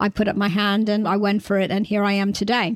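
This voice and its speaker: A woman speaks in a New York accent at a fairly high pitch and a moderate pace. The sound is dry and close, with no echo. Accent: New York American, noticeable. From New York, US. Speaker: insurtech trade body CEO. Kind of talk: interview.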